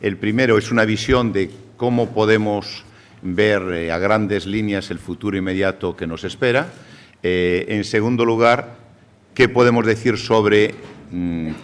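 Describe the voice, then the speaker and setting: A man with a Galician accent, fairly low in pitch, at a fairly slow pace with ordinary pitch variation. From Galicia, Spain. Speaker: savings bank federation president, speaker. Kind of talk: conference lecture. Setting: seminar with audience.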